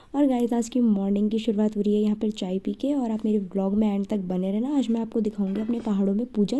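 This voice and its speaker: A woman talks in a dark, mellow, somewhat breathy tone. Her pitch is fairly high. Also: hardly any pauses. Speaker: vlogger. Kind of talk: casual vlog narration.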